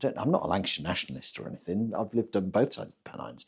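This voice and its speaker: A man's voice with vocal fry and lively intonation. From northern England, rural West Cumbria. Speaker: podcast co-host. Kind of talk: casual chat.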